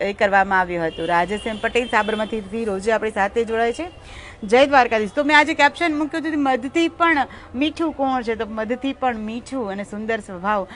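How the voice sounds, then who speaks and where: A woman's fairly high voice carries lively intonation. Noticeable background noise is heard behind her. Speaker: live-stream host. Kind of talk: devotional commentary and scripture explanation.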